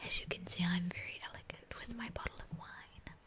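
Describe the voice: At a fairly quick pace, a woman speaks in a whisper.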